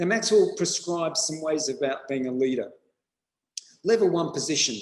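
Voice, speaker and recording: A man with an Australian accent, his pitch fairly high for a man and his pitch variation ordinary. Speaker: school principal. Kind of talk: webinar presentation.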